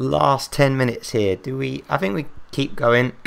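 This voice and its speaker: A man speaks with an English accent. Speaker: gaming YouTuber. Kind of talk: gameplay commentary. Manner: animated.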